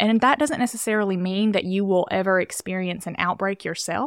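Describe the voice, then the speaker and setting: A woman with an American accent, an ordinary speaking voice at medium pitch, ordinary pitch variation, and a very clean recording with a silent background. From US South, rural Alabama. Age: 20s. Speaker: physician assistant. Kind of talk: casual interview. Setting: studio.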